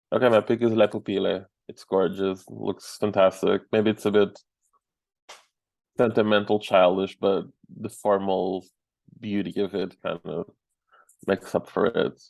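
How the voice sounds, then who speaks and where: With a Portuguese accent, a man speaks at a moderate pace in a fairly low pitch, his intonation monotone and flat, with long, frequent pauses and a dry, close sound with no echo. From Portugal. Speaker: film critic. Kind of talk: casual chat.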